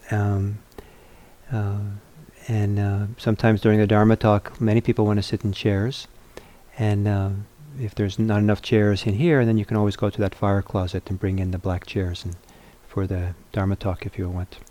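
Soft-spoken, the man has a dark, mellow tone and fairly low pitch. His pace is moderate, with little pitch movement.

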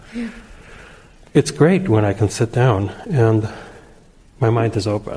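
Somewhat breathy and dark, mellow in tone, a man at medium pitch speaks at a fairly slow pace with lively intonation and long, frequent pauses. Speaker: class participant. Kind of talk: casual sharing.

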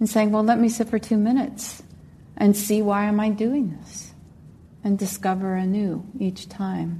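A woman's somewhat breathy, dark, mellow voice in a calm, gentle tone at a fairly slow pace. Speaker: meditation teacher. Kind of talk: guided meditation. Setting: meditation center with group.

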